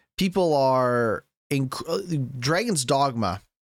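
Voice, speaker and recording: Animated in tone, a man speaks at a medium pitch with ordinary pitch variation. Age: 20s. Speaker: gaming podcast host and streamer. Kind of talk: solo gaming podcast livestream. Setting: live stream. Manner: casual with filler words.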